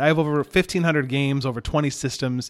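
A man with an Upper Midwest accent. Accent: Upper Midwest American. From Michigan (Hastings). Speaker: retro video game hobbyist. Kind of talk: casual chat.

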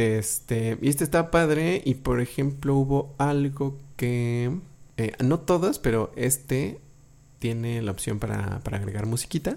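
Speaking at a fairly slow pace, a man uses an ordinary speaking voice. His pitch is medium, with ordinary pitch variation. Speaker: podcast host. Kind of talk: casual chat.

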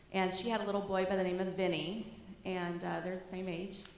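A woman's medium-pitched voice comes through with audible room echo. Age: 50s. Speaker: schoolteacher giving a church talk. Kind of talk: church talk with photos. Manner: casual, conversational.

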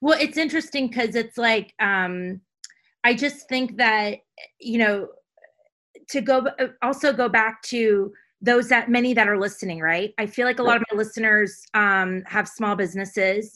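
Loud and fairly high-pitched, a woman with an American accent and a bright, sharp tone speaks at a moderate pace with ordinary pitch variation. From Caribbean (US Virgin Islands). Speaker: podcast host. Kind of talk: interview conversation. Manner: loud, gregarious.

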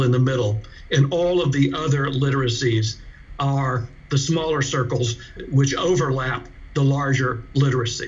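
A man with an American accent talks at a moderate pace in a fairly high pitch, with ordinary pitch variation. There is audible room echo and noticeable background noise. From US South, South Carolina. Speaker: media literacy educator and author. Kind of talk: interview.

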